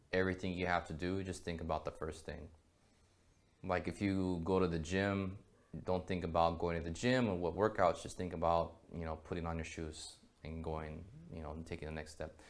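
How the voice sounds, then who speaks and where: A very deep, low male voice with an American accent and monotone, flat intonation. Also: moderate pace. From US. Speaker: copywriter. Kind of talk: interview. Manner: hesitant, many filler words.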